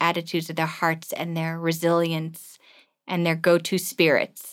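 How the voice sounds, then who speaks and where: With an American accent and a fairly low pitch, a woman speaks at a moderate pace on a very clean recording with a silent background. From US East Coast (New York and Washington DC areas), German-born. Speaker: missionary and children's home volunteer. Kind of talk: interview conversation.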